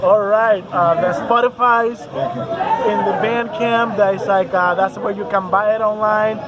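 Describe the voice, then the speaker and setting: Amid crowd noise in the background and audible room echo, a man speaks fairly slowly at a high pitch with ordinary pitch variation. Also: hardly any pauses. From Puerto Rico. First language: Spanish. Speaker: metal band musician. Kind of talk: casual interview. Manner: hesitant, many fillers.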